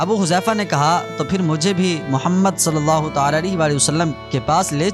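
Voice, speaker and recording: A man's fairly high, lively voice over music in the background. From Pakistan. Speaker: voice-over artist. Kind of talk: religious story narration.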